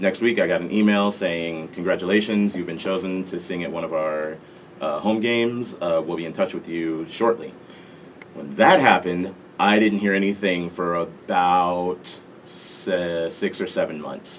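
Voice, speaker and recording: A man with an American accent, very deep and low in pitch, fairly even intonation, moderate pace, over noticeable background noise. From Las Vegas, Nevada, US. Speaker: national anthem singer. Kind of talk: interview.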